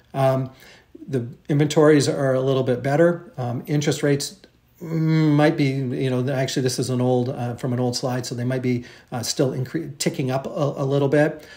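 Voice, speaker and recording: A man speaks at a medium pitch with a dark, mellow tone, a somewhat breathy quality and fairly even intonation. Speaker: real estate agent. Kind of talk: market update presentation. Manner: fast; hesitant, many fillers.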